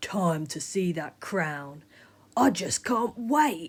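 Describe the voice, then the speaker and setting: Using a growling put-on character voice, a woman speaks very slowly at a medium pitch with very wide pitch swings. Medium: read story. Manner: chuckling, conspiratorial.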